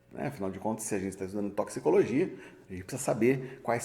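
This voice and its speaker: Audible room echo surrounds a man's somewhat breathy voice. His pitch varies in an ordinary way. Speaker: university professor. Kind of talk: lecture. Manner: halting, with fillers; casual, joking.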